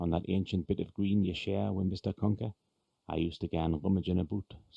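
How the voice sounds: In a natural reading voice with fairly even intonation, the speaker reads over a quiet background.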